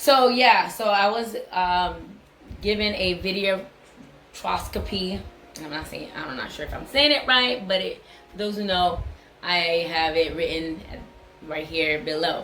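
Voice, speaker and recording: A woman with a medium-pitched voice and lively intonation speaks fairly slowly, her loudness swinging widely, amid audible room echo and noticeable background noise. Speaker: vlogger sharing health update. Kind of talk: casual vlog.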